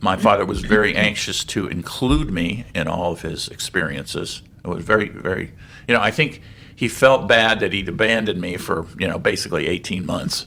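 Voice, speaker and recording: Speaking with an American accent, a man uses a bright, sharp tone and ordinary pitch variation. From Saudi Arabia (American expatriate camp). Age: 70s. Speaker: author and keynote speaker. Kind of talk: interview. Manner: halting.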